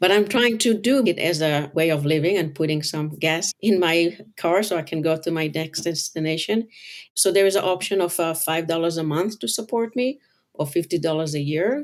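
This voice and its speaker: With a non-native accent, a woman speaks at a fairly low pitch with ordinary pitch variation. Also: moderate pace. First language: not English. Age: 50s. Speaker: color designer and author. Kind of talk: interview. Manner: halting.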